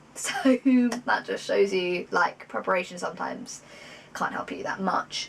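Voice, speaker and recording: In a British accent, the speaker uses ordinary pitch variation on a very clean recording with a silent background. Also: woman. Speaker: vlogger, psychology graduate. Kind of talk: casual vlog talk. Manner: fast.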